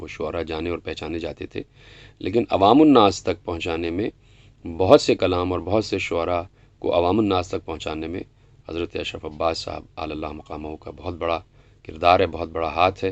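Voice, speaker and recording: A man's very deep, low voice with big swings in loudness. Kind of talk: documentary interview answer.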